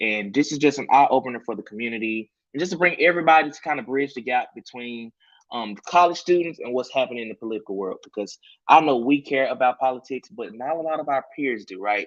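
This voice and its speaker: A man with a Memphis accent talks very fast at a medium pitch, with ordinary pitch variation and big swings in loudness. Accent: US Southern (Memphis). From Memphis, Tennessee. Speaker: campaign volunteer, panel moderator. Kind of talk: online panel moderation. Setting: video call livestream.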